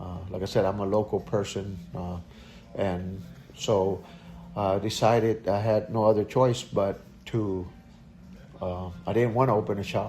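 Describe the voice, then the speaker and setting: A man's fairly low voice at a fairly slow pace, fairly even in intonation, with long, frequent pauses and music in the background. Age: 60s. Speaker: auto repair shop owner. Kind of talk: interview. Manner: halting, many fillers.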